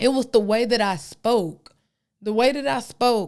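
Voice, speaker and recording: With a Texan accent, a woman talks at a fairly slow pace in a fairly high pitch with ordinary variation, recorded very cleanly over a silent background. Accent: Texas country twang. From Texas. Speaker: podcast host. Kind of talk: podcast monologue, opinion commentary. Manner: casual, colloquial.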